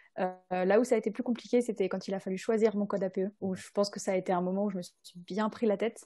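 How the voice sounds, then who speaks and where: Speaking very fast, a woman has a medium pitch and fairly even intonation. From France, Rhône-Alpes. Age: 20s. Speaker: videographer. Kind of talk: podcast interview. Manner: hesitant, many fillers.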